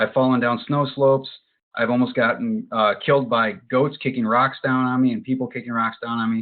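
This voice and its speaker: A man with an American accent and a normal speaking voice talks at a fairly quick pace and medium pitch, with fairly even intonation. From Western New York (Buffalo). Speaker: hiking instructor and meetup group founder. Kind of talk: webinar presentation. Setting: online webinar with screen sharing.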